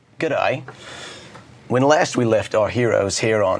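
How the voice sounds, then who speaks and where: The man talks at a moderate pace with noticeable background noise behind him. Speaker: tech presenter. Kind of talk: technical webcast chat. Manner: animated.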